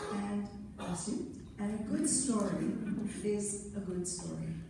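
Noticeable background noise behind very slow delivery and ordinary pitch variation. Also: woman, medium pitch for a woman. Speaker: theatre producer. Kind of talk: onstage interview answer. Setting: auditorium.

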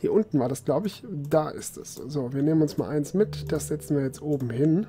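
A man talks in a fairly high pitch at a moderate pace, somewhat breathy, with ordinary pitch variation. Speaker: let's player. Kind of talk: casual let's play commentary.

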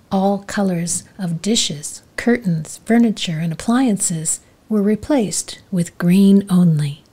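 A woman's medium-pitched, somewhat breathy voice, dark and mellow with a calm, gentle tone, very slow with hardly any pauses and ordinary pitch variation. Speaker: life coach. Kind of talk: soothing storytelling narration of a parable, read aloud. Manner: calm, slow and gentle, relaxation-paced; even, measured storyteller delivery, voicing characters' lines lightly.

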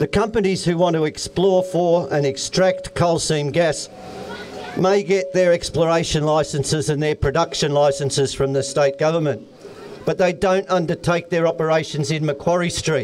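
Over crowd noise in the background, a man talks at a moderate pace with fairly even intonation. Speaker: speaker. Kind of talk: public speech. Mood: earnest, formal acknowledgement. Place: open country. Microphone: handheld.

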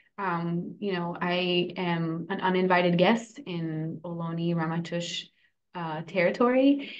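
Against a quiet background, a woman with an American accent talks at a very slow pace and a fairly low pitch, with ordinary pitch variation. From California, San Francisco and Davis; California. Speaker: food cooperative worker-owner and organizer; podcast guest. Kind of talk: interview. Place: home room. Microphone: video call.

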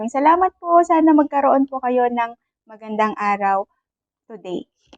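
Her intonation is lively as a woman speaks at high pitch and a moderate pace. The sound is dry and close, with no echo. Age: 40s. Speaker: overseas Filipino worker vlogger. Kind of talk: casual vlog monologue. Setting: office. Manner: polite, respectful.

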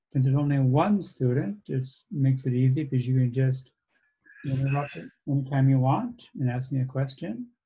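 Over light background noise, a man speaks at a moderate pace in a dark, mellow, somewhat breathy tone with fairly even intonation. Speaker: lecturer. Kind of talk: lecture. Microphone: video call.

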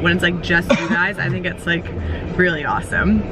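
Speaking at a very fast pace, a woman is heard with noticeable background noise and a dry sound with no echo. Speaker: vlogger. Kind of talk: casual vlog chat. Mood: warm, reflective, chatty. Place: car. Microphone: phone near.

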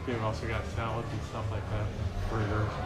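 Clear music sounds in the background. A man is speaking. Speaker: beer vlogger. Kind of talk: casual vlog chat. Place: bar. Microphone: phone near.

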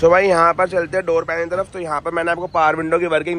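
Very fast and monotone, a high-pitched man speaks with flat intonation in a dry sound with no echo over light background noise. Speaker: car accessories vlogger. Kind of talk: casual product walkthrough commentary. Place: street. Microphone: phone near.

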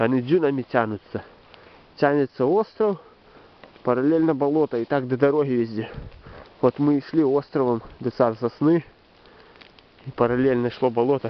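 A man's voice with ordinary pitch variation, long and frequent pauses, and a dry sound with no echo. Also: moderate pace. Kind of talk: casual vlog commentary. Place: forest. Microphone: phone near.

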